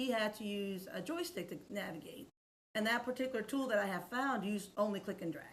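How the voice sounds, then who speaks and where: This woman's voice is somewhat breathy and fairly high in pitch. Her intonation is lively and her pace fairly quick. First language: Spanish. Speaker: accessibility expert and educator. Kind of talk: podcast interview.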